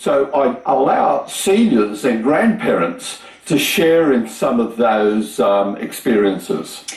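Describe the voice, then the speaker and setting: A man with an Australian accent at a very slow pace, hardly any pauses, very even loudness, very wide pitch swings, and noticeable background noise. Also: fairly high pitch for a man. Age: 70s. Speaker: retired engineer and YouTube maker. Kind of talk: TV interview.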